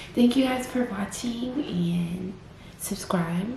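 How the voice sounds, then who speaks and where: Speaking at a very slow pace with ordinary pitch variation, a woman is heard amid audible room echo and noticeable background noise. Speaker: vlogger. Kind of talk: personal testimony vlog. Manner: slightly impaired, halting speech; casual, filler-heavy.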